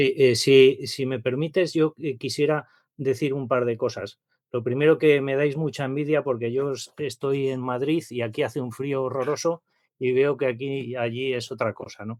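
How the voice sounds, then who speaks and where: A man speaks at a moderate pace in a medium pitch with fairly even intonation and a plain, everyday voice. The recording is very clean, with a silent background. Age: 60s. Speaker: course participant. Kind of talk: casual discussion.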